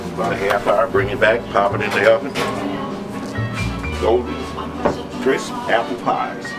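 A man at a moderate pace with long, frequent pauses, over loud music in the background. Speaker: bakery owner. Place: kitchen.

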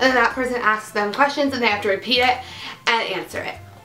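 The speech runs at a very fast pace. Faint music plays in the background. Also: woman. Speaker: beauty and lifestyle youtuber. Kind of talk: casual intro explaining a game. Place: home room. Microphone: camera far.

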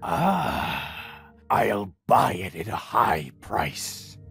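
This is a put-on character voice. It is raspy and very deep, low in pitch. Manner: overdramatic.

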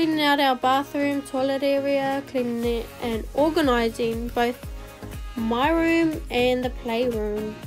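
Music in the background behind a high-pitched woman, fairly slow in pace, with fairly even intonation and very even loudness. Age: young. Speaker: vlogger. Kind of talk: casual vlog narration.

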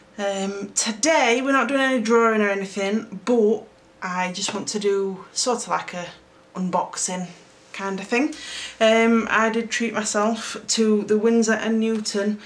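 A woman with a South Yorkshire accent speaks at a fairly slow pace with few pauses. There is audible room echo.

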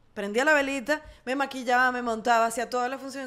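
A woman's high-pitched voice. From Venezuela. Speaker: actress and singer; actress. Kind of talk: casual chat. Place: home room. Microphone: studio mic.

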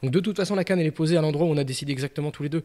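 A man's voice comes through. Nothing much stirs behind him. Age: 40s. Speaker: carp angler; podcast guest. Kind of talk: casual interview. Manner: halting, many fillers. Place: studio. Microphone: studio mic.

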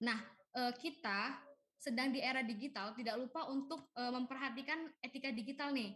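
Against a quiet background, a woman with a high pitch and a bright, sharp tone speaks at a moderate pace, with very even loudness and fairly even intonation. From Indonesia. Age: 20s. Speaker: young online shop entrepreneur; webinar presenter. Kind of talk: webinar presentation. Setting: video call. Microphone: video call.

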